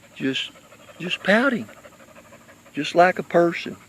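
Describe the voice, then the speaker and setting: Over noticeable background noise, a man with an American accent speaks at a fairly slow pace with lively intonation. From Kentucky. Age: 60s. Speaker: pet owner livestreamer. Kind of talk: casual livestream chat to viewers. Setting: outdoors.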